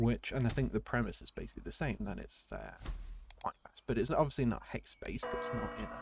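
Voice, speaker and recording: Music plays in the background. The speaker talks at a very fast pace in a British accent. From Britain. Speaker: gaming streamer. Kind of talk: live gameplay commentary. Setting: live stream. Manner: casual, hesitant with fillers.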